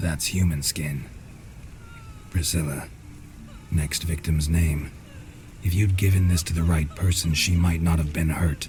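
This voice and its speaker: Over clear background noise, a man puts on a character voice. It is very deep and low, delivered at a moderate pace. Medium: machinima. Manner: terse, blunt.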